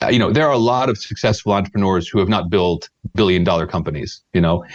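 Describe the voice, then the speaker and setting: A man with an American accent, fairly low-pitched, talking at a very fast pace with ordinary pitch variation. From United States. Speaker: startup sales mentor. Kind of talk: podcast interview. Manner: hesitant, many repetitions.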